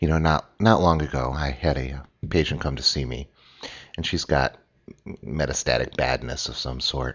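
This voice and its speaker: Very deep and low in pitch, the man's voice carries vocal fry. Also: ordinary pitch variation, moderate pace. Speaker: physician and podcast host. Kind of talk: solo podcast monologue. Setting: at home, early morning, coffee brewing in background.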